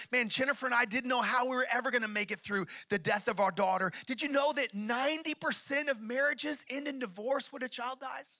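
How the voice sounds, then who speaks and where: Raising and projecting his voice, a man with an American accent speaks at a fairly quick pace in an extremely high pitch, with a bright, sharp, animated tone and ordinary pitch variation. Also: hardly any pauses, quiet background. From Oklahoma (Tulsa); Oklahoma. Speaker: pastor. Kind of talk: sermon. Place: church. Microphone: handheld.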